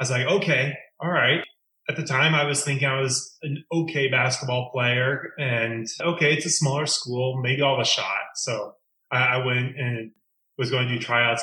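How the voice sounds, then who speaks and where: There's an ordinary speaking voice from this man, medium in pitch and fairly even in intonation, moving at a moderate pace. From Oregon, Creswell. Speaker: former basketball team manager. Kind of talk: interview.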